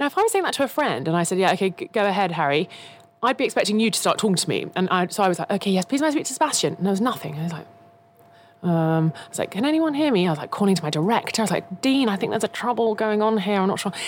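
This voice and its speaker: In a southern English accent, a woman talks at a very fast pace and a medium pitch, with very wide pitch swings. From England, Kent. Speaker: F1 broadcaster. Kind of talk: casual chat.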